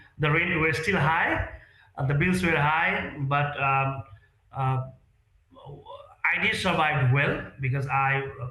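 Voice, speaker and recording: A man at a fairly high pitch with ordinary pitch variation, very slow pace, long, frequent pauses and very even loudness, in audible room echo. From Nepal. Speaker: real estate sales executive. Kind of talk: interview. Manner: halting.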